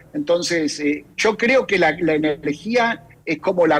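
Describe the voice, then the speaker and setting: This man talks in an Argentine accent at a fairly slow pace. His pitch is fairly high and his intonation lively. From Argentina. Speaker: think tank director. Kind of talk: radio interview. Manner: halting, many fillers and repetitions.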